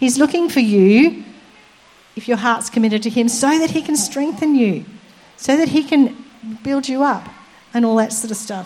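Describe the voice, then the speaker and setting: A woman speaks at a high pitch and a moderate pace with ordinary pitch variation and long, frequent pauses. Noticeable background noise is present. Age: 60s. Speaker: preacher. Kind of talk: sermon.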